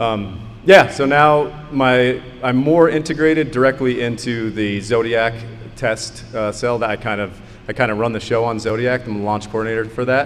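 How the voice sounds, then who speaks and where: A man speaks at a moderate pace and a medium pitch, his pitch varying in an ordinary way, with audible room echo and noticeable background noise. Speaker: rocket engineer. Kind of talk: conference panel talk. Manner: loud.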